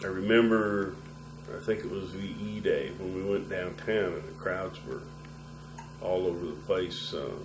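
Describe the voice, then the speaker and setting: A man with an American accent speaks at a very deep, low pitch, a moderate pace and fairly even intonation, leaving long, frequent pauses. Music plays in the background, and room echo is audible. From US Midwest, Nebraska (Lincoln). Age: 60s. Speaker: war veteran. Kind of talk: oral history interview.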